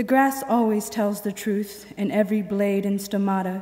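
Flat, monotone intonation marks this woman's speech. She keeps a moderate pace. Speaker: poet. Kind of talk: poetry reading performed aloud to an audience. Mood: calm, reflective. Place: hall. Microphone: podium.

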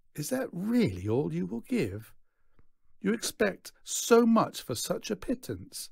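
A man puts on a character voice, high-pitched with a slightly mellow tone, a slightly husky edge and vocal fry, speaking slowly with very wide pitch swings.

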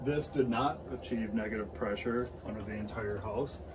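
A man's fairly even intonation and moderate pace are heard with noticeable background noise in the recording. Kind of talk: tutorial. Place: home room. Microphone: camera far.

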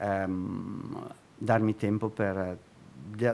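A man with a fairly low pitch. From Milan, northern Italy. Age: 60s. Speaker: street sign artist; guest. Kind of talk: interview; interview answer. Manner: halting. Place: studio. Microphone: studio mic.

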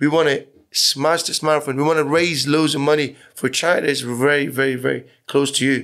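Over a quiet background, a man speaks at a moderate pace with a fairly high pitch, monotone, flat intonation, and very even loudness. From Iran, moved to Plymouth at 14; Iran. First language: Persian. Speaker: business owner and charity runner; podcast guest. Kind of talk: casual interview chat. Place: studio. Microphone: studio mic.

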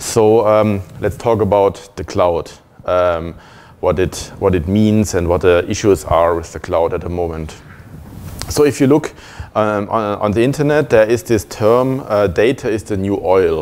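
This man has an ordinary speaking voice, fairly low in pitch, with ordinary pitch variation at a moderate pace. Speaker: conference speaker. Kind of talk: lecture. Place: meeting room.

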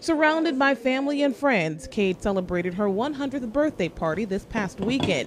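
A woman at a moderate pace with very wide pitch swings, noticeable background noise behind her. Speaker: TV news reporter. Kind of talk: TV news package narration.

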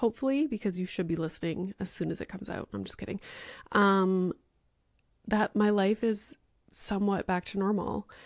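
A woman speaks at a moderate pace. The sound is dry with no echo, and the background is quiet. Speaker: podcast host. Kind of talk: casual podcast monologue. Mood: chatty, lightly joking. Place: home room. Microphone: studio mic.

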